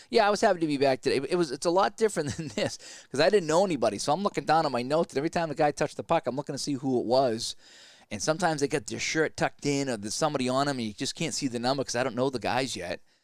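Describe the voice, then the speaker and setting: This man speaks at a very fast pace in a Boston accent. His pitch is fairly high, with lively intonation. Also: very clean recording, silent background. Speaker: sports play-by-play announcer. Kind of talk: simulated game play-by-play with casual asides. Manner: casual, halting with repeated words.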